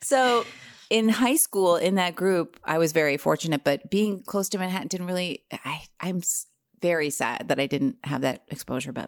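In a normal speaking voice, a woman with fairly low pitch and lively intonation talks at a moderate pace, in a very clean, silent-background recording with a dry, close sound and no echo. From US Northeast, New Jersey. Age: 40s. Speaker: actress and improviser. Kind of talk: casual chat.

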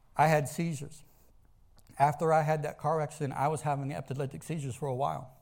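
A man with an American accent speaks at a very fast pace in a fairly high, somewhat breathy voice with fairly even intonation. The recording is very clean, with a silent background. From US South. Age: 40s. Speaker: pastor. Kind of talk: sermon. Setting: church, streamed live.

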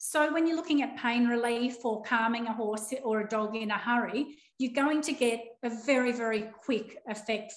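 Her voice is fairly high, with ordinary pitch variation. The woman speaks with an Australian accent. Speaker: animal naturopath. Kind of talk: interview. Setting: video call.

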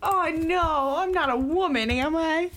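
A woman shouts in a whiny, put-on character voice at a fairly slow pace, with noticeable background noise. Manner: yelling, whiny.

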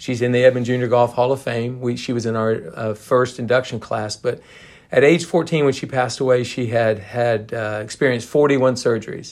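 A man's plain, everyday voice at medium pitch, with fairly even intonation and a fairly quick pace. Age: 60s. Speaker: head golf coach. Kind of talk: casual Q and A interview.

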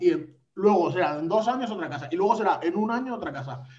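Room echo is audible around this speaker. A man talks at a very fast pace. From Valencia, Spain. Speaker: podcast co-host. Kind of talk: casual chat. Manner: animated.

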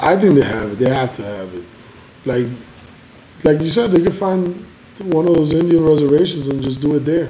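A man talks at a fairly quick pace with a fairly high pitch and lively intonation, leaving long, frequent pauses. Noticeable background noise sits behind him. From Cuba. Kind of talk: casual chat over beers. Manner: casual, profane, jokey.

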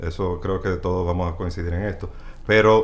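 A man with a very deep, low voice speaks with ordinary pitch variation, and the room echo is audible. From Dominican Republic. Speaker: baseball stats website creator, former sports journalist. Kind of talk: casual chat.

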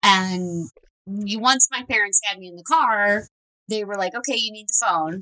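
Recorded dry and close with no echo, a woman uses a normal speaking voice at a medium pitch and fairly slow pace, with ordinary pitch variation and big swings in loudness. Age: 30s. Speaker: true crime podcast co-host. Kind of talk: casual chat.

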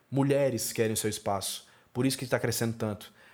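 A man talks at a moderate pace with fairly even intonation on a very clean recording with a silent background. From Brazil, Fortaleza (Ceará). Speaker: film critic and podcaster. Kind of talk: solo podcast monologue.

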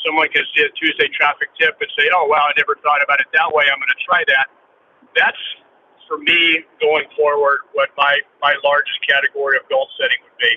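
A man talks at a fairly quick pace. His loudness rises and falls in big swings. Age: 60s. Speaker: commercial real estate broker. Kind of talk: casual panel discussion.

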